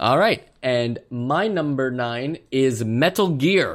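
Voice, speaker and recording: Man with a plain, everyday voice, fairly high in pitch and lively in intonation, in a very clean recording with a silent background. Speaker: podcast host. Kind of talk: casual chat.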